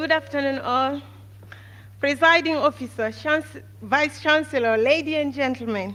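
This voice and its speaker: A woman with a high voice projects loudly in a bright, sharp tone at a moderate pace, her intonation fairly even. The recording is very clean, with a silent background. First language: not English. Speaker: valedictorian nursing graduate. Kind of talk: graduation speech. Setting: stage with audience. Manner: formal.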